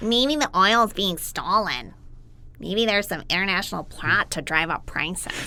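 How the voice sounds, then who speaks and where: A put-on character voice, female-sounding, at medium pitch and a moderate pace. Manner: nerdy, dorky.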